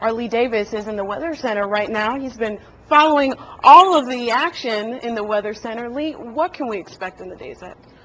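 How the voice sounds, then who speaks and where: A woman with a normal speaking voice talks at a fairly high pitch and a fairly quick pace. Her loudness swings widely. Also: ordinary pitch variation. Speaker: news anchor. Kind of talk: TV news broadcast.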